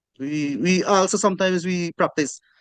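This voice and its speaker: Speaking fairly slowly with a Guyanese accent, a man comes through dry and close with no echo against a quiet background. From Guyana, Amerindian community. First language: Akawaio. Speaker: class discussion participant. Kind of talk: group discussion. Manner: halting.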